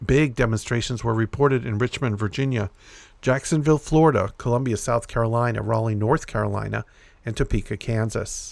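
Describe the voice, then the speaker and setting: Recorded very cleanly with a silent background, a man with a plain, everyday voice speaks at a medium pitch with fairly even intonation. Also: fairly quick pace. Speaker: podcast host reading news. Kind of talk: news reading of a published article, scripted read-aloud report. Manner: steady, formal, even newscaster delivery.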